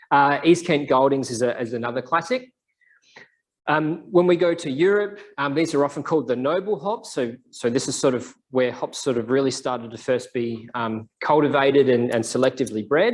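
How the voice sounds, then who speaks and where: An Australian-accented man at a moderate pace, with fairly high pitch and lively intonation. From South Australia. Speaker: scientist giving a seminar. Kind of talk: lecture. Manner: casual, with many fillers. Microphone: microphone issue.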